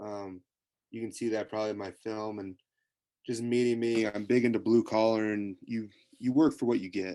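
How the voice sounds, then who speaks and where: A man with a Midwestern American accent speaks at a moderate pace in a fairly low voice. His tone is dark and mellow, his intonation monotone and flat. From US Midwest, rural Nebraska. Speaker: college football player. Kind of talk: interview. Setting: video call.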